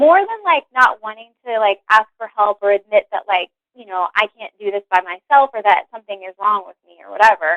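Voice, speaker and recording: In a normal speaking voice, a woman with a fairly high pitch talks at a fairly quick pace with hardly any pauses, ordinary pitch variation and big swings in loudness. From West Virginia. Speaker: career change guest. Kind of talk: interview, personal story. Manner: casual, many fillers like 'like'.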